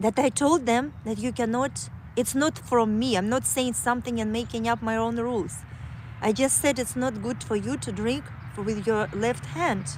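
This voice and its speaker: With a Kazakh accent, a woman speaks at a moderate pace in a fairly high voice, her intonation lively and touched with vocal fry. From Kazakhstan. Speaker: livestreamer. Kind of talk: casual livestream monologue. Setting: outdoors on a walk. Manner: halting, many fillers.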